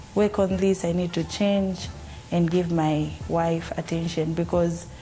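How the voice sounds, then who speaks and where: A woman speaks at a fairly slow pace with fairly low pitch. Her intonation is monotone and flat, with noticeable background noise. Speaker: comedian's wife. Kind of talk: casual interview. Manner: quiet, soft-spoken.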